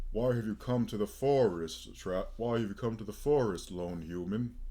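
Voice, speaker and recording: A man speaks in a put-on character voice at a moderate pace and a medium pitch. The recording is very clean, with a silent background. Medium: actual play. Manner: wry, conversational.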